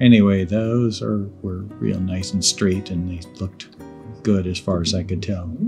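The speaker is a man with a fairly low pitch. Faint music plays in the background. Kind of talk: casual tutorial commentary. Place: workshop.

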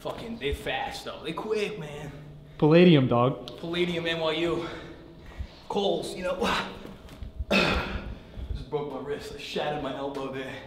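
Over noticeable background noise, a man talks at a fairly slow pace with ordinary pitch variation. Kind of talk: comedic improvised monologue. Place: gym.

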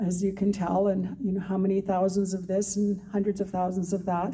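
This woman has a dark, mellow tone that is somewhat breathy. Her intonation is monotone and flat, and her pace is moderate. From Canada. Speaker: author. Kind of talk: moderating a Q&A. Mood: warm, admiring. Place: hall. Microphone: handheld.

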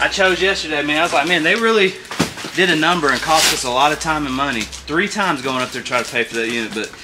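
A man talks at a very fast pace. Background noise is noticeable. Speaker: storage unit reseller. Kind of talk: casual vlog chat. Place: garage.

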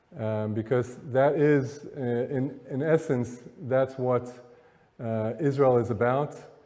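Speaking very slowly, this man has a medium-pitched voice and fairly even intonation. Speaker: motivational speaker. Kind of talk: live lecture to an audience. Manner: conversational, many filler words. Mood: warm, reflective storytelling. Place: hall. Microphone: podium.

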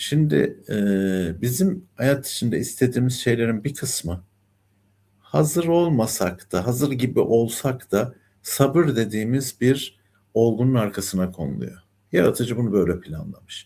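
On a very clean recording with a silent background, a man talks at a fairly slow pace in a medium-pitched, dark, mellow voice with vocal fry and lively intonation. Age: 60s. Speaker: numerologist and life coach. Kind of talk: spiritual talk monologue. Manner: calm, soothing tone; hesitant fillers.

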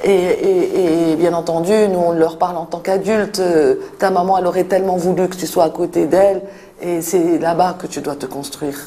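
A woman's fairly low voice in a flat, monotone delivery. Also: moderate pace. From Morocco, Fès. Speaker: NGO director for street children. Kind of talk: interview. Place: office.

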